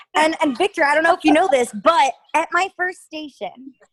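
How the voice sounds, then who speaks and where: Her pitch is extremely high, and this woman speaks with an East Coast US accent. Her pitch varies in an ordinary way, and the sound is dry and close with no echo. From Connecticut, near New York City. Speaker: TV news reporter. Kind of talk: casual interview chat.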